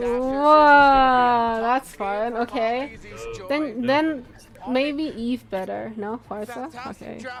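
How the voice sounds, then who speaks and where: Speaking very slowly with an American accent, a woman uses a high pitch and big swings in loudness. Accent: American-sounding. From Korea. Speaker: esports streamer / restreamer. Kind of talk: casual live-stream chat reading and reacting. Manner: animated.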